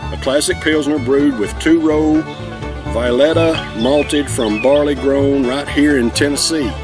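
The pace is moderate. The sound is dry with no echo, and clear music plays in the background. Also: man. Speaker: beer reviewer. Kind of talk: casual vlog chat. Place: garden.

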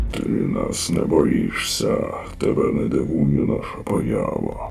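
Using a put-on character voice, a man speaks at a fairly slow pace against clear background noise. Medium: fan dub. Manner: authoritative, measured.

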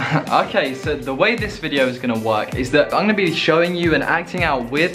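Over clear music in the background, a man with a fairly high pitch talks at a fairly quick pace. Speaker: university student. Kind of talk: casual vlog talk to camera. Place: home room. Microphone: phone near.

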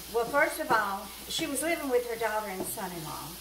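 A woman speaks with lively intonation. Noticeable background noise sits behind her. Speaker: cooking vlogger. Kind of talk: homespun storytelling aside while cooking, recounting caring for an elderly woman. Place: kitchen.

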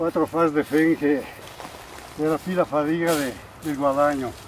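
A man in a Belluno accent speaks fairly slowly at a fairly high pitch, with monotone, flat intonation. The sound is dry with no echo, and there is light background noise. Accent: local Agordino dialect. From Italy, Agordino area of Belluno (Veneto Dolomites); Veneto, Italy. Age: 70s. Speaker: retired hospitality worker and hay farmer. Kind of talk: casual storytelling; casual storytelling while working. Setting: outdoors in mountain meadows. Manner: talks nonstop. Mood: cheerful, joking. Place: open country.

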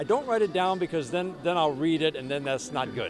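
A high male voice with ordinary pitch variation, dry and echo-free, over clear background music. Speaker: baseball radio announcer. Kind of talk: sports radio interview answer. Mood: warm, enthusiastic, smiling. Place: stadium. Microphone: handheld.

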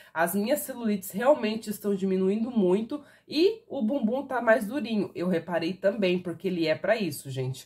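A somewhat breathy woman speaks at a moderate pace with very wide pitch swings and hardly any pauses against a quiet background. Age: 30s. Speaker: product reviewer. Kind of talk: sales pitch. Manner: casual. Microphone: phone near.

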